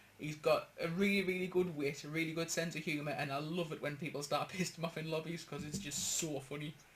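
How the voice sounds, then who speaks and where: A man speaks in a strong Geordie accent. His pace is fairly quick, with ordinary pitch variation. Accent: strong northeastern Geordie. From northeast England. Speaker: gaming podcast host. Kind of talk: casual chat.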